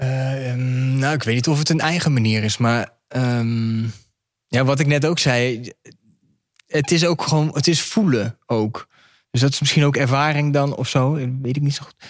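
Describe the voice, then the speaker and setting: Fairly slow male speech, medium in pitch, with ordinary pitch variation. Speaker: hospital clown. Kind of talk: casual conversation. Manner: hesitant, many filler sounds.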